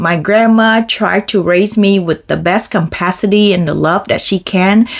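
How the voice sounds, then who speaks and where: A woman speaks with a non-native accent at medium pitch. Her pace is moderate and her pitch varies in an ordinary way. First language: not English. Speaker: self-improvement vlogger. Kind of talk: motivational talk to camera.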